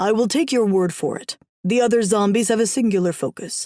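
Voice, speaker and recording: A put-on character voice growls at a fairly high pitch and a fairly quick pace. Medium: read story. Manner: gruff, blunt.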